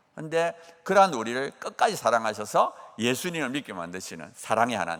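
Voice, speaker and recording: This man's medium-pitched voice moves at a fairly quick pace with very wide pitch swings. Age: 60s. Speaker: professor and guest preacher. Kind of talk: sermon with personal testimony. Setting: church dawn service. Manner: animated.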